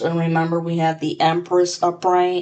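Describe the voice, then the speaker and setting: A woman's fairly low voice. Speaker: tarot reader. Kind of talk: tarot reading. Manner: slow; casual, scattered.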